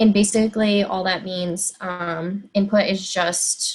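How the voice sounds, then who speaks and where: Somewhat breathy, a woman speaks with an American accent. Her medium pitch follows fairly even intonation. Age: 20s. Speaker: high school Spanish teacher. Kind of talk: presentation. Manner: frequent filler words (um, like).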